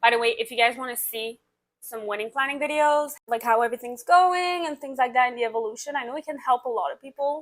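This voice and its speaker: Speaking at a very fast pace, a woman with a high pitch uses ordinary pitch variation and big swings in loudness. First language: French. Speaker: vlogger. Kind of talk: casual chat.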